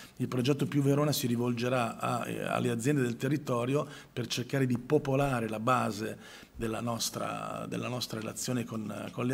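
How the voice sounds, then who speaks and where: The speaker is a man. He talks at a moderate pace with fairly even intonation. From northern Italy, Milan; northern Italy. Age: 50s. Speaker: sports marketing manager. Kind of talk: press conference speech. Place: hall. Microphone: handheld.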